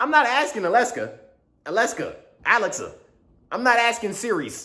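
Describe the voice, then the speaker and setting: A man projects a raised voice at an extremely high pitch, bright and sharp in tone. His pitch varies in an ordinary way, and audible room echo is present. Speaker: vlogger. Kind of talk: casual vlog monologue. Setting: studio. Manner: fast; slurred at times.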